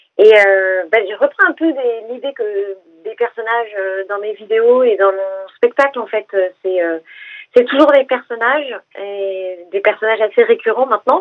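Fairly high pitch from a woman, an ordinary speaking voice with ordinary pitch variation at a fairly slow pace. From Essonne, Paris region, France. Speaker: comedian. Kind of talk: radio interview. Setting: phone call.

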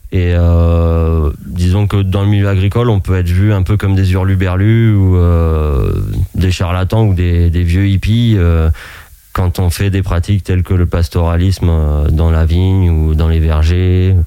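Amid noticeable background noise, a man with a very deep, low pitch speaks at a fairly slow pace and very even loudness. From France, Maine-et-Loire (Anjou). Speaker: shepherd. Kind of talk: radio interview. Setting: radio studio.

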